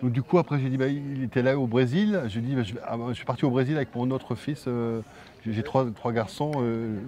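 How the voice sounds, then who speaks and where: At a moderate pace, a man speaks with a medium pitch, a dark, mellow tone and ordinary pitch variation. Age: 50s. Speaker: film director and actor. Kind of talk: interview. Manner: halting, with repetitions.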